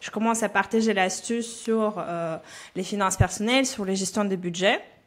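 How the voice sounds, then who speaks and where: At a moderate pace, a woman speaks with a slight Belarusian accent and a fairly high pitch. The recording is very clean, with a silent background. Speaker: personal finance coach. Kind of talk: podcast interview. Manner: frequent hesitations (euh).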